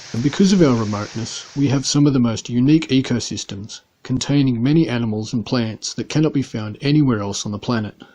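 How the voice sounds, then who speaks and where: A man talks at a fairly quick pace with an Australian accent and ordinary pitch variation over a quiet background. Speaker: pet keeper vlogger. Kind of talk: scripted narration.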